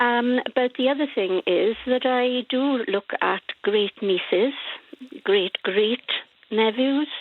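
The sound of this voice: The speaker talks at a slow pace with ordinary pitch variation, and the sound is dry and close with no echo. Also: woman, fairly high pitch for a woman.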